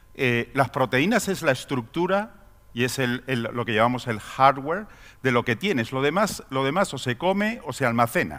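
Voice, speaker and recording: This man's voice sits at a medium pitch, moving at a moderate clip with lively intonation. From Spain. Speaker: pharmaceutical executive. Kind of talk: conference talk. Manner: halting, many fillers and repetitions.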